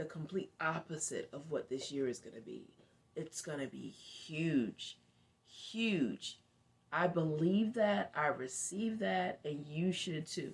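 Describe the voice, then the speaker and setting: A woman speaks very slowly in a very deep, low voice with vocal fry. Her pitch swings very widely and her loudness shifts a great deal. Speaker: motivational vlogger. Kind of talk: casual talk to camera. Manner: whispering at times.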